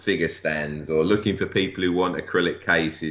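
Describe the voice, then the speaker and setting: A man with an English accent speaks at a moderate pace. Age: 40s. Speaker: toy collector and display accessory maker. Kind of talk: casual interview.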